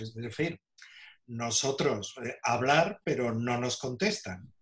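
A man talks at a very slow pace. His medium pitch varies in an ordinary way. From Spain, Seville (Andalusia). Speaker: archaeologist and caver. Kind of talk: interview.

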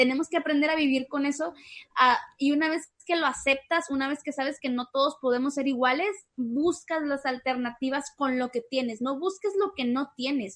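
High-pitched woman's voice, ordinary pitch variation, moderate pace, quiet background. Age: 20s. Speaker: dancer and dance teacher. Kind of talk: casual chat.

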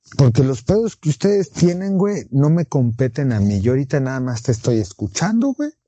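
A man with a Mexican accent speaks at a moderate pace with hardly any pauses. His fairly high, somewhat breathy voice makes very wide pitch swings. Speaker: podcast co-host. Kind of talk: casual chat.

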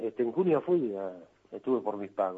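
The man's intonation is lively. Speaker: cartoonist. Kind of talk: interview.

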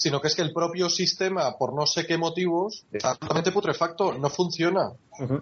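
In an ordinary speaking voice, a man talks at a fairly quick pace and fairly high pitch, with ordinary pitch variation. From Spain. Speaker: journalist. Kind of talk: interview.

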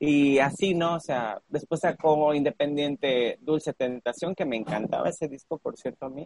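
In a dry, close recording with no echo, a man with a fairly high pitch and an unremarkable speaking voice talks at a fairly slow pace with lively intonation. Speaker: podcast co-host. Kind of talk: casual chat.

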